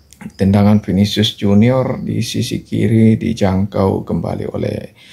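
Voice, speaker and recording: A man speaks at a very slow pace. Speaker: football commentary youtuber. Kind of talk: match recap commentary. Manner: hesitant, frequent filler 'ya'.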